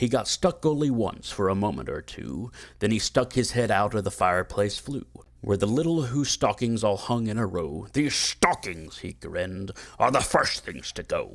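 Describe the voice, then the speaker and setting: The delivery has lively intonation and a moderate pace in an unremarkable speaking voice. The background is silent and the recording very clean. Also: man. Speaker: voice actor. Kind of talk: children's audiobook read-along.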